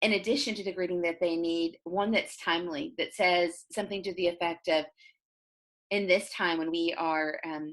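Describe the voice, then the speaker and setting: A woman talks at a moderate pace in a normal speaking voice with fairly even intonation. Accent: American. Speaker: voice-over artist. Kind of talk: interview answer, conversational. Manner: gentle, kind, friendly.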